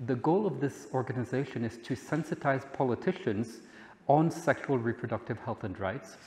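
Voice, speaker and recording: Here a man speaks at a moderate pace in a medium pitch. His voice is somewhat breathy, with ordinary pitch variation. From Belgium. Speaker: head of an advocacy organization. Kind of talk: conference talk. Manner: halting.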